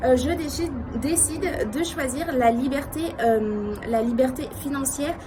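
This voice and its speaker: With noticeable background noise, a woman speaks at a high pitch with ordinary pitch variation. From France. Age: 20s. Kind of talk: casual talk to camera.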